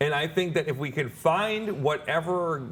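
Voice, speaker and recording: A man has an ordinary speaking voice with ordinary pitch variation. He talks at a moderate pace. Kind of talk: interview.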